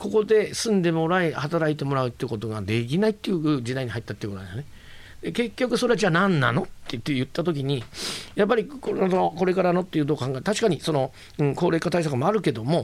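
A man speaks at a very fast pace in a fairly high pitch. His voice shows very wide pitch swings. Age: 50s. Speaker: business leader. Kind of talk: interview. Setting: studio. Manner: halting.

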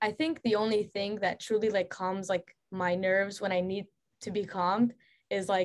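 A woman with a plain, everyday voice speaks at a moderate pace and medium pitch, keeping her intonation fairly even. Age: 20s. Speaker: author and painter. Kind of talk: casual interview chat.

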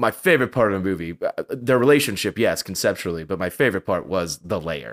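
In a normal speaking voice, a man talks at a fairly quick pace with fairly low pitch and lively intonation. The recording is very clean with a silent background, a dry, close sound with no echo. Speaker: comic book podcast co-host. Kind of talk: casual chat about a movie review.

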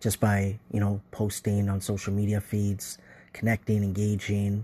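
Against a quiet background, a man talks with a somewhat breathy, dark and mellow tone at a fairly low pitch. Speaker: listener voicemail contributor. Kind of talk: recorded voice message.

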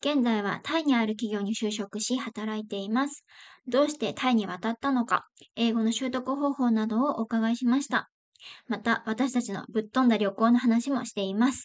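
At a moderate pace and a fairly high pitch, a woman speaks in a plain, everyday voice with fairly even intonation against a quiet background. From Japan. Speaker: podcast host. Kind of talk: scripted intro; casual chat.

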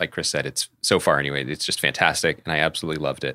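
Speaking at a fairly quick pace, a man with an American accent has a bright, sharp tone and vocal fry. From southeastern Pennsylvania. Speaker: podcast co-host, TV critic. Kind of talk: casual chat. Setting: remote call.

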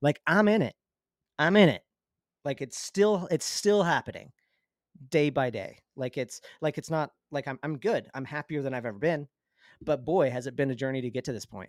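A man with an American accent speaks in a fairly high pitch with lively intonation and long, frequent pauses. The recording is very clean and silent in the background, with a dry, close sound and no echo. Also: moderate pace. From Utah / Arizona border, US. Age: 30s. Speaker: former cult member. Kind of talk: interview testimony.

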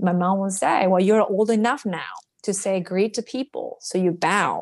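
Fairly slow speech with a Japanese accent against a quiet background. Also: woman. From rural Japan, Ishinomaki in Miyagi. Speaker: cross-cultural business liaison. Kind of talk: interview.

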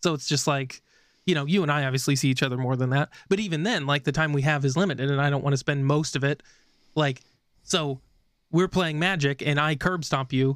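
Using an ordinary speaking voice, a man with a fairly high pitch talks at a fairly quick pace, with very even loudness and fairly even intonation. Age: 30s. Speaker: podcast co-host. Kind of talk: casual chat.

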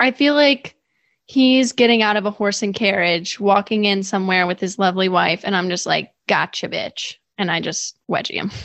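A woman's unremarkable speaking voice at medium pitch, with ordinary pitch variation and a moderate pace. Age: 20s. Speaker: podcaster and preschool teacher. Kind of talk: casual chat.

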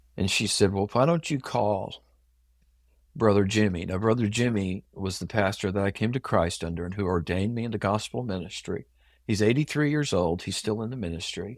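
A plain, everyday voice with an American accent moves at a fairly quick pace. Its pitch variation is ordinary. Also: man, fairly low pitch for a man. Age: 60s. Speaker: pastor. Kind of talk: interview, personal testimony.

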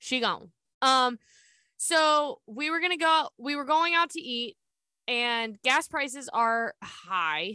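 A woman's high, bright, sharp voice, raised and projected, very slow and with lively intonation, over a quiet background. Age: 30s. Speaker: podcast co-host. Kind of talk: casual chat. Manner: animated.

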